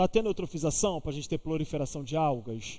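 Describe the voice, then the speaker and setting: This man has a dark, mellow tone at a fairly high pitch. He speaks with lively intonation. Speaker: teacher. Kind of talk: online exam-prep lecture. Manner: casual, interactive.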